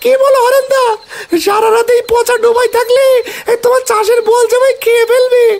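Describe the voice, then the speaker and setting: In a cartoonish character voice, the speaker goes extremely high in pitch, keeping a monotone, flat intonation at a moderate pace. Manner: whiny, pleading.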